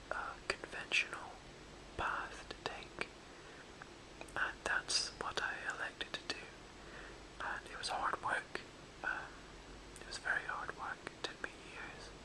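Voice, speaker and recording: A fairly slow whisper broken by long, frequent pauses, over noticeable background noise. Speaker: ASMR whisperer. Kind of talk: casual whispered chat to camera. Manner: whispered.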